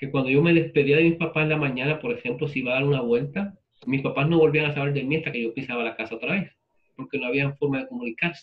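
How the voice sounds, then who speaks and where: A man talks at a very fast pace. He speaks in a Puerto Rican accent. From Puerto Rico. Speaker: literature professor. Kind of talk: lecture with class discussion. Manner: conversational.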